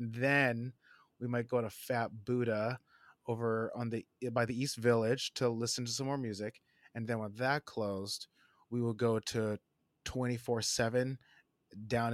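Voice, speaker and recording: With an American accent, the speaker uses monotone, flat intonation at a moderate pace, on a very clean recording with a silent background and a dry, close sound with no echo. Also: man. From New Jersey. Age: 40s. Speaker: creative executive and designer. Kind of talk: casual interview chat.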